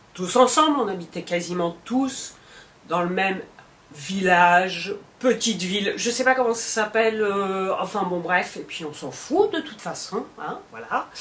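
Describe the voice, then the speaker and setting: Speaking at a fairly slow pace, a woman uses lively intonation and big swings in loudness. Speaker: vlogger. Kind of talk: storytelling. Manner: animated.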